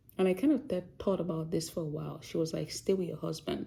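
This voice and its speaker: A woman speaks in a Yoruba accent at a fairly low pitch. Her tone is dark and mellow, with vocal fry. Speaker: doctor and vlogger. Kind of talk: casual vlog talk.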